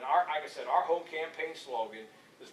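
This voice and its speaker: Over noticeable background noise and audible room echo, a man is heard. He speaks at a fairly quick pace with a fairly high pitch. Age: 60s. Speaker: political candidate. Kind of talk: campaign speech with Q&A.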